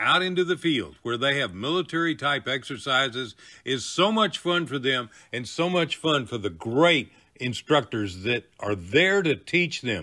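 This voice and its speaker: His pitch is fairly high and his intonation is lively. This man has an ordinary speaking voice and goes at a moderate pace. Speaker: veteran and show host. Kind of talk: show trailer narration.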